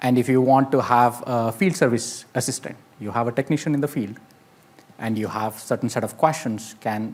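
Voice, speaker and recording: This man has a medium-pitched voice. He speaks with an Indian accent. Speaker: AI industry speaker. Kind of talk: conference talk.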